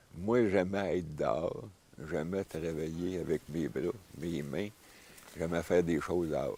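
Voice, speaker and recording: With a Quebec accent, a man with a very deep, low pitch speaks at a fairly slow pace with fairly even intonation and long, frequent pauses. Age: 60s. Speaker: forestry instructor. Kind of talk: outdoor instruction and interview. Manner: halting, many fillers.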